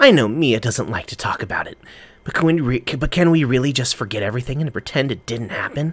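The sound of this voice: Here is an unforced reading voice. The pitch varies in an ordinary way.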